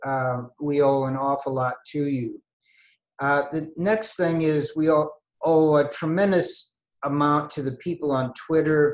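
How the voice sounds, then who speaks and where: Very slow speech from a man, fairly high in pitch, with fairly even intonation. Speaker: investment strategist presenting a webinar. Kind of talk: webinar lecture. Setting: online webinar. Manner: slow, deliberate; hesitant, many filler words.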